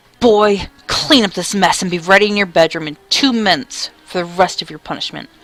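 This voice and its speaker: A gruff, put-on character voice sounds female and sits at a middle pitch. It moves at a fairly quick pace. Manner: harsh, commanding.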